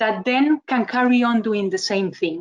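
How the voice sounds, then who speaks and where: This woman speaks with a Costa Rican accent. Her high voice carries lively intonation. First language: Spanish. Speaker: communication trainer, webinar speaker. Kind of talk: webinar presentation.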